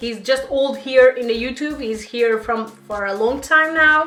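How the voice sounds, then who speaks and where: A woman's high pitch with a Portuguese accent and ordinary pitch variation, with audible room echo and music in the background. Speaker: beauty YouTuber. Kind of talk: makeup review vlog. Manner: halting.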